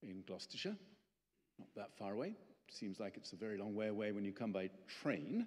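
A man with an unremarkable speaking voice talks at a fairly quick pace with lively intonation. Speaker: guest. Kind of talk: public talk. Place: church. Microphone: podium.

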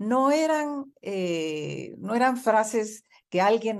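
A woman speaks with lively intonation. The background is quiet. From Mexico. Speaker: market research executive; interview guest. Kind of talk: radio interview. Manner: animated. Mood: earnest, moved. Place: home room. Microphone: video call.

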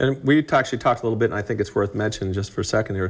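Ordinary pitch variation at a very fast pace. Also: man, fairly low pitch for a man.

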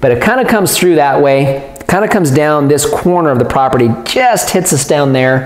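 With audible room echo, a man talks at a fairly quick pace. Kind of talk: explanatory vlog talk. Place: home room. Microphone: lapel.

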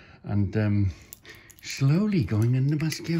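The man's voice has a dark, mellow tone and is somewhat breathy. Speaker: car enthusiast vlogger. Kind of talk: casual vlog chat. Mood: jovial, laughing. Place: garage. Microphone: phone near.

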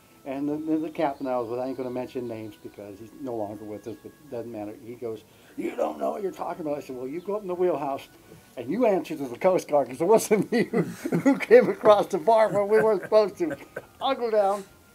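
Faint music plays behind a man talking very fast. His loudness swings widely. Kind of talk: interview storytelling. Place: garden.

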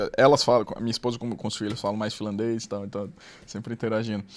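A man is speaking. The background is quiet. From Fortaleza, Ceará, Brazil; Ceará, Brazil. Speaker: former investment banker; podcast guest. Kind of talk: interview storytelling. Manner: animated. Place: studio. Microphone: studio mic.

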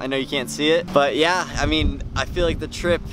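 A man at a moderate pace, dry sound with no echo, noticeable background noise behind him. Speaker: travel vlogger. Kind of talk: casual vlog chat. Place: boat. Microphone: phone near.

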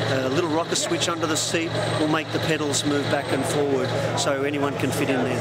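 A man speaks over background music, the sound dry with no echo. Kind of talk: interview answer. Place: hall.

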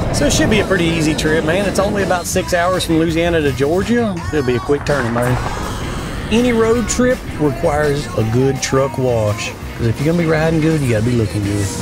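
A man talks at a fairly quick pace over clear background music, the sound dry with no echo. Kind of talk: casual vlog chat. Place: car.

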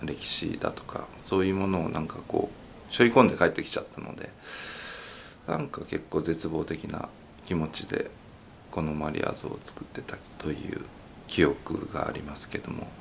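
With a very deep, low pitch and ordinary pitch variation, a man speaks in big swings of loudness. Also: moderate pace. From Nagasaki, Japan. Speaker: sculptor. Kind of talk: interview.

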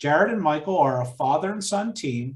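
With a Pennsylvania accent, a man talks at a moderate pace in a fairly high pitch, with audible room echo. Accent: Pennsylvania American. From Chester County, Pennsylvania. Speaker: museum event host. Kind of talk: event moderation. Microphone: webcam.

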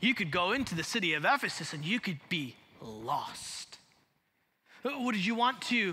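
Raising and projecting his voice, a man with an American accent talks at a moderate pace in a high pitch, bright and sharp in tone, with very wide pitch swings. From Chicago. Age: 40s. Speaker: pastor. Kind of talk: sermon. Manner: animated. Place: church. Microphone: headset.

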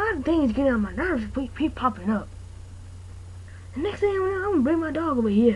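The speaker uses a cartoonish character voice. Clear background noise can be heard. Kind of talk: amateur comic overacting. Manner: annoyed, threatening.

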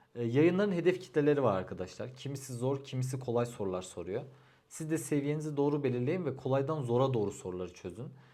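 In a room with audible echo, a man with a dark, mellow tone talks fairly quickly at a medium pitch with lively intonation. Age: 30s. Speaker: civil engineer giving exam advice. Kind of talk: advice vlog monologue.

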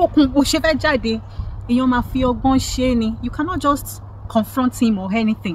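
A woman's high-pitched, animated voice with a Nigerian accent, dry with no echo, over light background noise. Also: ordinary pitch variation, moderate pace. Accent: Nigerian (Yoruba) English. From Nigeria (Yoruba). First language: Yoruba. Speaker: lifestyle vlogger. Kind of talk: opinion monologue vlog. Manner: animated, repetitive.

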